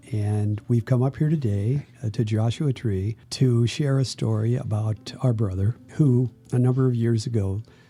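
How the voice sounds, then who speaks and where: Over music in the background, a man with an American accent talks at a moderate pace, his medium pitch showing ordinary variation. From Ohio, US Midwest. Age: 80s+. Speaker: musician, brother of the late guitarist. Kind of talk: interview. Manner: halting, with fillers.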